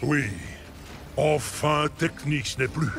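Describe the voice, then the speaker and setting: Using a cartoonish character voice, a man speaks at a fairly high pitch over clear background noise. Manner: cold, formal, imperious.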